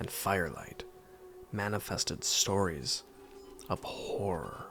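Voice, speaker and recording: Music plays in the background as a man talks at a very slow pace. His pitch is fairly low. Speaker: podcast host. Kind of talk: horror podcast introduction.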